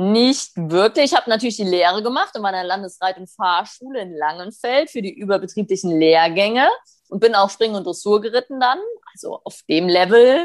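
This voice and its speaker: With a plain, everyday voice, a woman speaks at medium pitch and a moderate pace, her intonation lively and her loudness swinging widely. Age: 30s. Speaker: western riding trainer. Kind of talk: interview.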